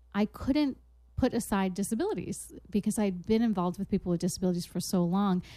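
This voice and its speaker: A woman's dark, mellow voice at a medium pitch, moving at a moderate pace. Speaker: baking show host. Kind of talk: casual chat.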